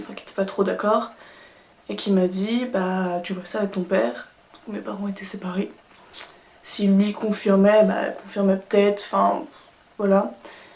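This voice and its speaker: A woman's medium-pitched voice comes through with noticeable background noise behind it. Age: 20s. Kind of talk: casual storytime talk to camera.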